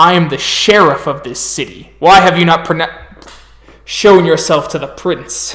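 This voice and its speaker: In a put-on character voice, a man speaks gruffly and growls at a high pitch and a moderate pace. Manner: gruff, demanding.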